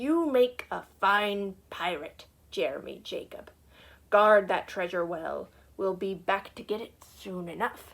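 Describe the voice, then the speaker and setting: On a very clean recording with a silent background, a woman puts on a character voice, loud, growling and bellowing. Her pitch is medium and her pace fairly slow. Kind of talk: read-aloud picture book. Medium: read story. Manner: loud, bellowing pirate talk.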